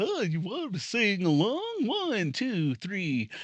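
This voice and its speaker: Someone talks in a put-on character voice at a fairly slow pace. Light background noise can be heard. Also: man, high pitch for a man. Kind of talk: children's show style, used for dirty joke. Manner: cheerful, singsong.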